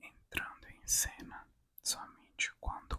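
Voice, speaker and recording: Whispering woman at a very slow pace. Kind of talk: ASMR reading of law text. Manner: whispered, soft.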